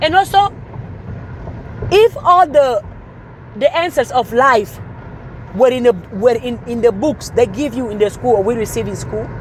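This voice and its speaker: With long, frequent pauses and big swings in loudness, a woman speaks at a moderate pace in a high pitch with lively intonation over noticeable background noise. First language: not English. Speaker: motivational speaker. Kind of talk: motivational talk. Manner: animated.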